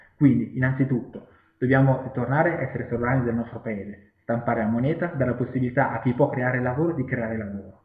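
A man talks at a very fast pace. The background is quiet, but room echo is audible. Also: fairly even intonation. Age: 30s. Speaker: political candidate and activist, civil engineer; candidate. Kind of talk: campaign self-presentation video. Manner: hesitant, with fillers and repetitions. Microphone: webcam.

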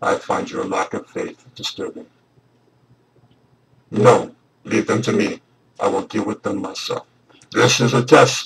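Raspy and put on as a character voice, a man's speech comes at a fairly slow pace with long, frequent pauses. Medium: role play. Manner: slow, menacing.

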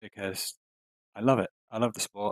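In a British accent, a man talks over a quiet background, the sound dry with no echo. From UK. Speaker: show producer and teacher; teacher. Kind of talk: casual chat. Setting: video call. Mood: wry, enthusiastic. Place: home room. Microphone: studio mic.

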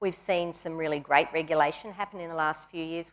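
A woman speaks with an Australian accent. Her intonation is monotone and flat. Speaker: industry association chief executive; panelist. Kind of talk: panel discussion. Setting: stage with audience. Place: studio. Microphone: lapel.

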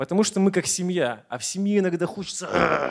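The background stays quiet. The male speaker's pitch is high. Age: 30s. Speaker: motivational speaker, network marketing partner; motivational speaker. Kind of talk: motivational speech. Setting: stage with audience. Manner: energetic. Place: hall. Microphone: handheld.

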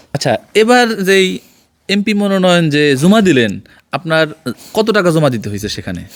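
Very wide pitch swings mark a man's high-pitched voice. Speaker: journalist. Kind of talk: field interview and report. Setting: on location at interviewee's home.

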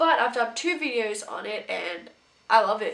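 Noticeable noise sits in the background. The pitch varies in an ordinary way. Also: woman. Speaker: beauty YouTuber. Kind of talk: casual video monologue, product review. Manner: animated, enthusiastic.

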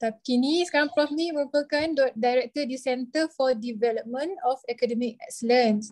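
A high-pitched woman's voice at a moderate pace, with ordinary pitch variation, hardly any pauses and a quiet background. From Malaysia. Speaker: emcee. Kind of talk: formal emcee introduction. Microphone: video call.

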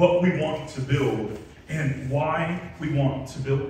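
A man talks in a room with strong echo and light background noise. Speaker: pastor. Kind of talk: sermon. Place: church.

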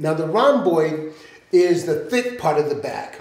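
Through audible room echo, a man talks at a fairly slow pace in a high pitch with ordinary pitch variation. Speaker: fitness coach. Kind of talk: tutorial. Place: gym.

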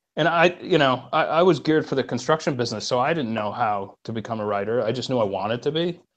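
A man's lively intonation, with hardly any pauses, over a quiet background. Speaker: remote podcast guest. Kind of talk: interview answer. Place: home room. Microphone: earbuds.

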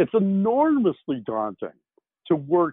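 Talking at a fairly slow pace, a man lets his pitch swing very widely. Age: 60s. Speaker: science fiction novelist. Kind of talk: interview.

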